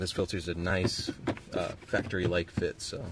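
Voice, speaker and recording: Noticeable background noise is present throughout. Through it, a man talks in a very deep, low voice. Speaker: car DIY video maker. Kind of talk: tutorial. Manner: fast; casual.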